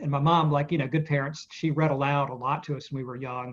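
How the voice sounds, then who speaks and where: Against a quiet background, a man with a Southern US accent speaks at a fairly quick pace and a fairly high pitch, sounding somewhat breathy. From US South, Spartanburg, South Carolina. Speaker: author. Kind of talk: interview. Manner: casual, hesitant with fillers.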